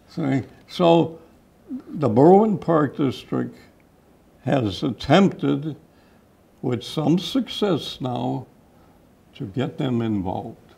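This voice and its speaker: In a Chicago accent, a man with a fairly high voice, a dark, mellow tone and vocal fry speaks very slowly, with long, frequent pauses and very wide pitch swings. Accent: Chicago-area American. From Chicago area, Illinois (Cicero). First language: Czech. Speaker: park district commissioner. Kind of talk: interview.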